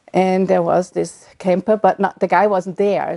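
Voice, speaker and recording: The voice has a German accent and a dark, mellow tone with monotone, flat intonation. The sound is dry and close, with no echo. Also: woman. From Germany. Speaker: retired midwife. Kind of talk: oral history interview. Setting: at home. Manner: halting.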